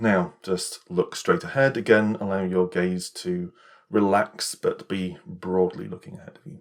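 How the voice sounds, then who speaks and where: A man with a British accent speaks at a fairly slow pace in a serious, calm tone. His loudness swings widely. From England. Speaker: ASMR creator roleplaying an optometrist. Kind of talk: ASMR roleplay, eye exam. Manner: serious, matter-of-fact, slightly brisk yet calm.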